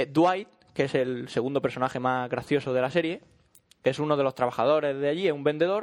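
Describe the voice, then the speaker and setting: Fairly high in pitch, a man talks in a plain, everyday voice at a fairly quick pace with ordinary pitch variation. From Málaga, Andalusia, Spain. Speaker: podcast host. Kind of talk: casual chat.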